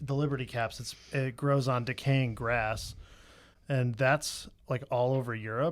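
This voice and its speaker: With flat, monotone intonation, the man holds a medium pitch. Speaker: podcast co-host. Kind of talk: casual chat. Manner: fast; halting.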